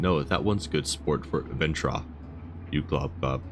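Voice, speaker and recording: A put-on character voice rumbles along at a moderate pace. Loud background noise fills the recording. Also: man. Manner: rumbling.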